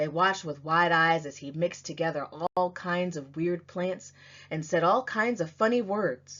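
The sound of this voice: A woman's fairly low, fairly bright voice at a moderate pace, with ordinary pitch variation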